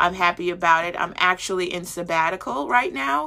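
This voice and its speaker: With an American accent, a woman speaks in a bright, sharp tone at medium pitch, her intonation fairly even, on a very clean recording with a silent background. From New Jersey, US East Coast. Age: 30s. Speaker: podcast host. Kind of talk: personal monologue.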